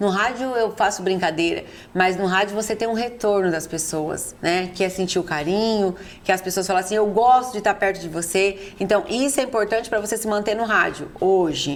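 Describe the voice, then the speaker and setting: A woman speaks at a medium pitch and a fairly quick pace in a normal speaking voice with ordinary pitch variation. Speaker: podcast interviewer, radio colleague and wife of the guest. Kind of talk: interview questions in a podcast.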